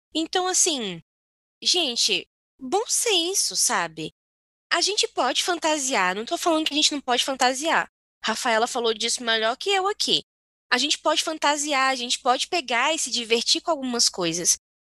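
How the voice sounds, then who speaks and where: A woman's raised, projected voice, high in pitch with very wide pitch swings and a bright, sharp tone, at a moderate pace in a dry, close sound with no echo. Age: 20s. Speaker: podcast co-host. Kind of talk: casual chat. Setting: video call.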